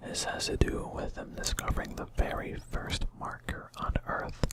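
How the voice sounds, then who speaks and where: A fairly slow whisper with noticeable background noise behind it. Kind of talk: casual talk to camera. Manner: soft-spoken.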